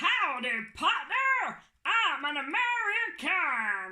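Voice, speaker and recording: In a put-on character voice, the speaker talks at a very slow pace with an extremely high pitch and very wide pitch swings. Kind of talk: playful, comic.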